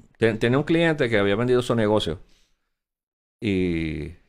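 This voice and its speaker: Lively intonation runs through this man's fairly low voice as he speaks at a moderate pace. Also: long, frequent pauses, very even loudness. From Puerto Rico. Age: 60s. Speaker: former finance secretary and Senate candidate. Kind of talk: interview.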